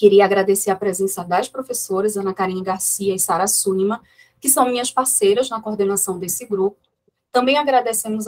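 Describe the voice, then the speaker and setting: In a normal speaking voice, a woman talks at a fairly quick pace with medium pitch and ordinary pitch variation, the sound dry and close with no echo. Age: 40s. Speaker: historian, research group coordinator. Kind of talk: academic seminar introduction. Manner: formal.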